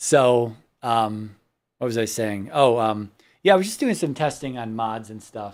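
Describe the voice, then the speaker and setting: A loud voice speaks at a fairly slow pace with ordinary pitch variation, on a very clean recording with a silent background. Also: man, medium pitch for a man. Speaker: gaming streamer. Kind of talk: casual gameplay commentary. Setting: live stream. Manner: halting, many fillers.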